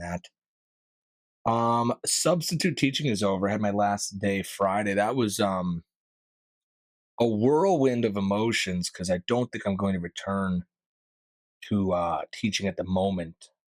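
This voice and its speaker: With an American accent, a man speaks at a fairly low pitch and a moderate pace, using ordinary pitch variation. The recording is very clean with a silent background and a dry, close sound without echo. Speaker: podcast host; karaoke host. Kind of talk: casual podcast talk. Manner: upbeat, energetic.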